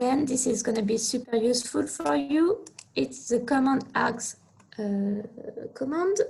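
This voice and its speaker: A woman's high-pitched voice with a French accent, lively intonation and a fairly slow pace. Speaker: researcher presenting computing tutorial. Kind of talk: technical presentation.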